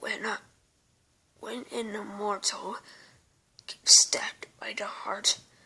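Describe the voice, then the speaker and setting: A woman whispering in a raspy, put-on character voice at a fairly slow pace, with long, frequent pauses. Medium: read story. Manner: halting, stuttering.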